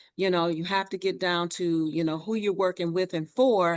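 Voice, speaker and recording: With fairly even intonation and a fairly low pitch, a woman talks in an ordinary speaking voice over a quiet background. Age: 60s. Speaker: community organization leader. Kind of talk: panel discussion response.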